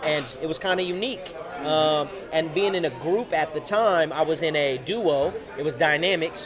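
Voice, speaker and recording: Music plays and audible room echo surrounds a man with an American accent. He has a fairly high pitch with ordinary variation and talks at a moderate pace. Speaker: rapper. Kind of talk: interview. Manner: confident.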